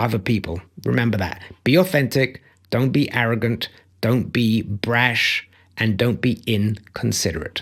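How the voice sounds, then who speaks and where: A man with a British accent at a fairly slow pace, on a very clean recording with a silent background. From Belgium. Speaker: life coach and motivational speaker. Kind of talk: motivational talk. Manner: emphatic.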